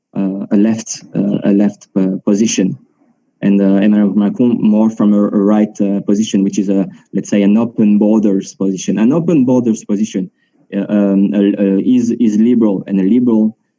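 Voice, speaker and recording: A man with a French accent, a dark, mellow tone and a fairly low pitch, at a moderate pace with fairly even intonation and very even loudness. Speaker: market analyst. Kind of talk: panel discussion. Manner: halting, many fillers and repetitions.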